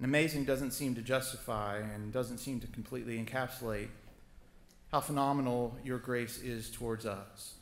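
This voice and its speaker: A man at a moderate pace, fairly even in intonation, with audible room echo. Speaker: prayer leader. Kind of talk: public prayer. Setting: church chapel with audience. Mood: solemn, earnest. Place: church. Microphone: podium.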